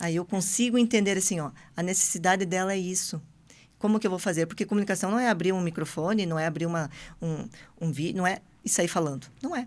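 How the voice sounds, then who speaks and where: A woman speaks at a very fast pace in a medium pitch with ordinary pitch variation. The recording is very clean, with a silent background. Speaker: entrepreneur guest. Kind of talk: podcast interview.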